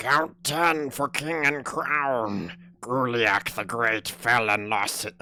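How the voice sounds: Putting on a strained, raspy character voice, a man talks at a very slow pace with a medium pitch.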